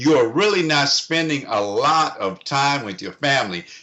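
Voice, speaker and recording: This is a man talking. His pitch is fairly high. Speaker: comedian and financial consultant. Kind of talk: interview. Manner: loud.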